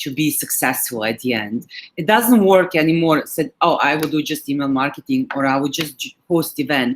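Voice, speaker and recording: A woman's very deep, low voice in a Serbian accent, with lively intonation. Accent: Serbian accent, noticeable. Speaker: digital marketing manager. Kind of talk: webinar presentation. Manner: halting, many fillers.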